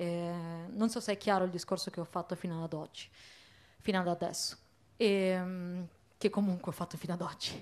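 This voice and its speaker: A woman speaks in a fairly low, monotone voice with flat intonation, leaving long, frequent pauses. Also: moderate pace. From Italy, Bologna; Italy. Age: young. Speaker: activist; speaker. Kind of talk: panel discussion. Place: stage. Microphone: handheld.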